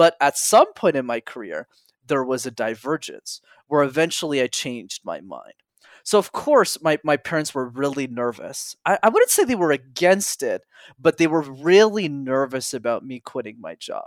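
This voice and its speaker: In a very clean recording with a silent background and a dry, close sound with no echo, a man with an unremarkable speaking voice talks at a moderate pace, his fairly high pitch carrying lively intonation and big swings in loudness. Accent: Canadian. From Montreal, Canada. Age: 20s. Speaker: public speaking coach. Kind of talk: interview.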